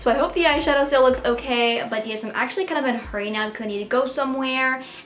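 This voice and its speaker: A woman speaks at a very fast pace and a high pitch. Audible room echo and noticeable background noise surround her voice. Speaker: beauty vlogger. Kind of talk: tutorial.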